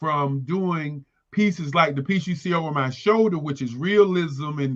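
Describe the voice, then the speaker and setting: An unremarkable speaking voice from a man, fairly high-pitched, moderate pace, ordinary pitch variation. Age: 60s. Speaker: artist. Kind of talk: interview.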